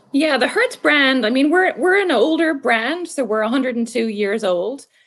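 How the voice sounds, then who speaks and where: A woman with an Irish accent speaks at a high pitch and a moderate pace, her intonation lively and her loudness very even. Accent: Irish, still fairly decent. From Ireland. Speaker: marketing executive. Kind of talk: interview.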